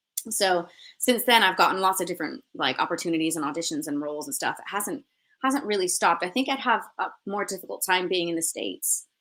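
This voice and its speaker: On a very clean recording with a silent background, a woman with a North American accent talks very fast at a medium pitch, her tone bright and sharp, her intonation lively and her loudness swinging widely. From US West Coast, Los Angeles. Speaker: actress. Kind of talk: interview.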